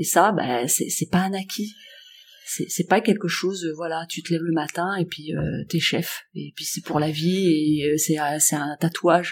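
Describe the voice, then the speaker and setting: Over music in the background, a woman speaks at a fairly slow pace in a fairly low voice. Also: fairly even intonation. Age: 50s. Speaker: workplace wellbeing coach. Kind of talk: interview.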